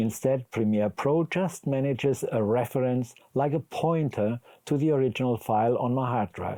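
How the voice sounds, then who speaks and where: A man with a German accent speaks at a moderate pace in a dark, mellow tone, his loudness very even and his pauses hardly there. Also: medium pitch for a man, ordinary pitch variation, dry, close sound with no echo. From Germany. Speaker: video editing instructor. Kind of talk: tutorial.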